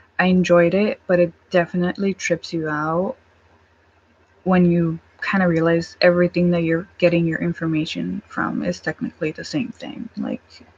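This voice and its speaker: Against noticeable background noise, a woman with a fairly low pitch speaks with ordinary pitch variation. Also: moderate pace, dry, close sound with no echo. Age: 20s. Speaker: vlogger. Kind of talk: casual chat. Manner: halting.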